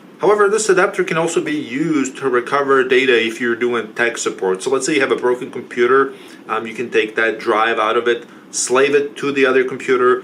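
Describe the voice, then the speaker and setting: Through noticeable background noise, a man with a non-native accent talks at a fairly quick pace, medium in pitch, with lively intonation. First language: not English. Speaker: tech support youtuber. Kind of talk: product review tutorial.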